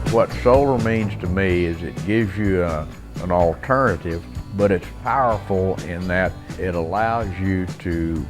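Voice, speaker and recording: A man's very deep, low voice with ordinary pitch variation over background music. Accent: Texan. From South Texas. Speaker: rancher. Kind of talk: customer testimonial interview.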